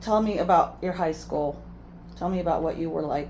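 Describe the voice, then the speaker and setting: The speaker is a woman. Audible room echo is present. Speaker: family interviewer, daughter. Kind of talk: family life interview.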